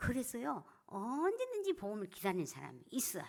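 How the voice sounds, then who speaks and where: On a very clean recording with a silent background, a woman speaks at a moderate pace, her pitch swinging very widely. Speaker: church deaconess and evangelism speaker. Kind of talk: evangelism seminar talk.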